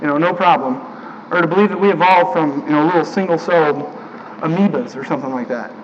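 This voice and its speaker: Speaking very fast with lively intonation, a man with a high voice is heard over noticeable background noise. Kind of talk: sermon delivered to a congregation. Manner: casual, conversational, with filler words.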